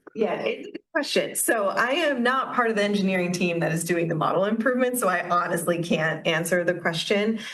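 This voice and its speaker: A woman with an American accent talks at a fairly quick pace with hardly any pauses, medium pitch and lively intonation, amid audible room echo. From Minnesota, US. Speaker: AI researcher giving a talk. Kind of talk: audience Q&A after a talk.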